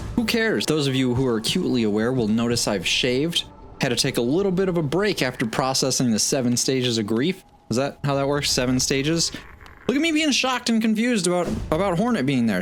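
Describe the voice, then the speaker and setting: Music plays in the background as a man speaks at a fairly quick pace in a fairly high, animated voice. His pitch swings very widely while his loudness stays very even. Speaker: gaming YouTuber. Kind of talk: let's play commentary. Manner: fast.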